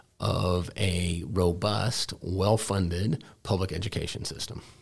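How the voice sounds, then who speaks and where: Speaking at a fairly slow pace, a man with an American accent uses a very deep, low pitch that is somewhat breathy, with ordinary pitch variation. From Texas, Dallas. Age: 50s. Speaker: head of school. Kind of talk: interview.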